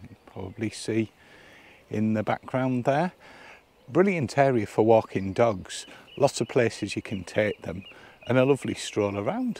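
At a fairly slow pace, a man speaks with a fairly low pitch, a slightly mellow tone, vocal fry, lively intonation and long, frequent pauses.

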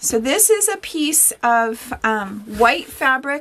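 High pitch from a woman's voice. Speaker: sewing instructor. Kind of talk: tutorial. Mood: warm, chatty. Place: workshop.

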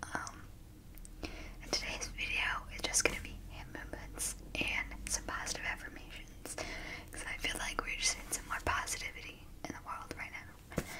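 The speaker, a woman, is whispering. She moves along at a moderate pace. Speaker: ASMR creator. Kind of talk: casual talk to camera. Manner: whispered. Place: home room. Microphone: studio mic.

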